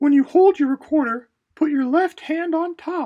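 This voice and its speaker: Someone uses a put-on character voice that is squeaky and high-pitched. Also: moderate pace. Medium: read story. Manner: patient, gentle.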